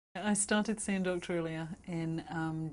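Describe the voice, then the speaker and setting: A London accent with ordinary pitch variation. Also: woman. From London, England. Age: 40s. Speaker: patient giving a testimonial. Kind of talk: testimonial interview answer.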